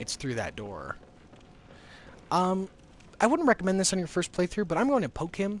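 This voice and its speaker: A man's high voice with lively intonation, a moderate pace, and long, frequent pauses. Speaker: gaming streamer. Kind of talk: live gameplay commentary. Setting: live stream. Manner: halting.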